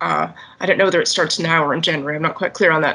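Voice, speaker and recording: A woman talks in a bright, sharp tone with monotone, flat intonation. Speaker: audience member asking questions; audience member. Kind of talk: discussion questions in online meeting. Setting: video call. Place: home room. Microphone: video call.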